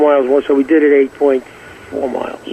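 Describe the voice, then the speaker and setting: A man with an American accent, with noticeable background noise. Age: 70s. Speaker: 1960s pop singer. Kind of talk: casual interview chat.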